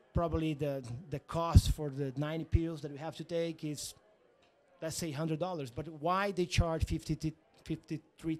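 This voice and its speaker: This man speaks in a Portuguese accent. His tone is dark and mellow, and his pitch is fairly high. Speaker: company founder and CEO. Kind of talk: interview. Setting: media zone at a conference. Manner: halting.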